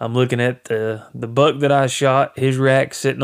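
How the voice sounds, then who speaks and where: The speaker has a Southern US accent and monotone, flat intonation, on a very clean recording with a silent background. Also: man. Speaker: hunting podcaster. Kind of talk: casual monologue. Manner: rambling with fillers. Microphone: new microphone.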